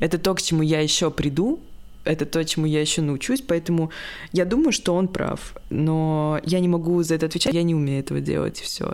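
With a normal speaking voice, a woman of fairly low pitch talks at a fairly quick pace with ordinary pitch variation and very even loudness, in a very clean recording with a silent background. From Saint Petersburg, Russia. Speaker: beginner photographer. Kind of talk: casual chat.

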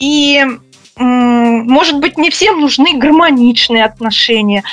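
Against noticeable background noise, a woman speaks at a fairly slow pace in a high voice. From Russia. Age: 40s. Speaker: psychologist. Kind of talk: interview.

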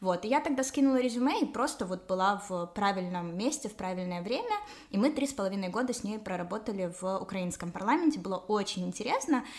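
Through noticeable background noise, a woman talks at a very fast pace and medium pitch with lively intonation. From Ukraine, Kyiv. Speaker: parliamentary assistant and blogger. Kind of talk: explanatory interview.

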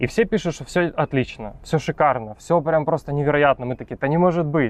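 A man with an unremarkable speaking voice talks at a moderate pace, fairly high in pitch, with ordinary pitch variation. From Ukraine. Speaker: photographer and refugee immigrant. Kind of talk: casual interview.

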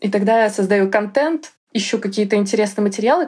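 Her pitch swinging very widely, a woman talks in a fairly high voice. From Russia, Yaroslavl. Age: 30s. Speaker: tutor. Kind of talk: interview. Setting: studio.

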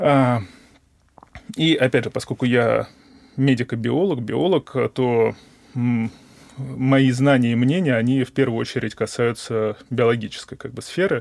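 A man speaks at a very slow pace with long, frequent pauses. His pitch is medium, with ordinary variation. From Moscow, Russia. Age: 20s. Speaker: research scientist. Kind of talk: interview. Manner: hesitant, with many fillers.

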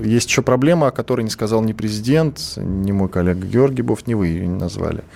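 A man speaks at a moderate pace in a dark, mellow tone with lively intonation. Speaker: radio host. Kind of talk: radio interview. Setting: studio.

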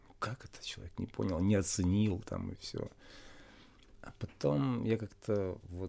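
Speaking at a fairly slow pace, the voice has a dark, mellow tone and ordinary pitch variation. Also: man. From Russia. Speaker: spiritual game master and yoga teacher. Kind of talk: interview.

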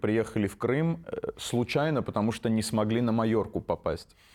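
This man has an unremarkable speaking voice, medium in pitch, with ordinary pitch variation. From Armenian family, raised in Moscow from age 4. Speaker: stand-up comedian and producer. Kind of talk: casual interview.

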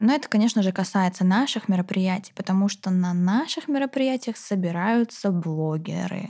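A woman's somewhat breathy voice at medium pitch with a dark, mellow tone, ordinary pitch variation, very even loudness, a moderate pace and hardly any pauses. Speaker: podcast host and course creator. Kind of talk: interview podcast, casual chat. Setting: studio.

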